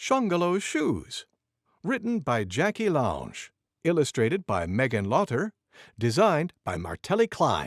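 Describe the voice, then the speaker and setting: At a moderate pace, a man does a cartoonish character voice pitched fairly high, on a very clean recording with a silent background. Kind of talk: bedtime story reading. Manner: gentle, clear, warm.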